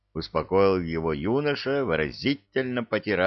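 Reading aloud in a natural voice. The intonation is lively.

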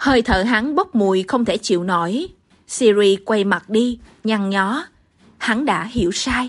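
Someone does plain reading aloud, the pitch varying by an ordinary amount.

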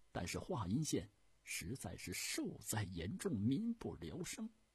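With very wide pitch swings and a husky, rough edge, a man performs a put-on character voice at a fairly slow pace and a fairly low pitch.

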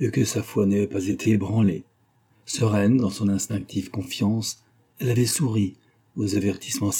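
The clip is reading aloud in a natural voice with fairly even intonation.

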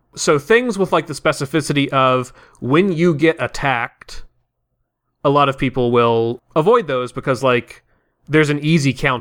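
With a plain, everyday voice and an American accent, a man speaks at a fairly high pitch with ordinary pitch variation, his sound dry and close with no echo. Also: moderate pace. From US South. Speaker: tabletop RPG podcast player. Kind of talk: casual chat.

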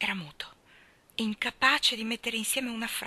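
The delivery is an unforced reading voice. Its tone stays fairly even.

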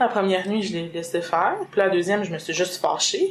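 A woman talks at a fairly quick pace. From Quebec, Lac-Saint-Jean. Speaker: mother sharing birth experience. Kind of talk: testimony.

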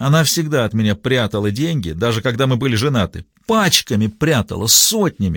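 The unforced reading voice rises and falls with lively intonation.

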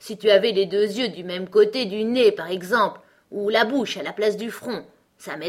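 The voice is reading aloud in a natural voice.

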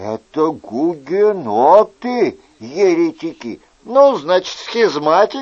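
A recording of reading aloud in a natural voice.

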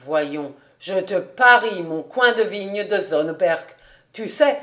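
The text is read in a natural reading voice, with lively intonation.

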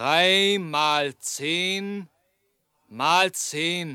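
A man puts on a character voice at a fairly high pitch and a very slow pace, his tone bright and sharp yet clear and smooth, with ordinary pitch variation on a very clean recording with a silent background.

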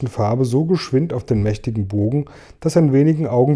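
Someone reads aloud here in a natural voice.

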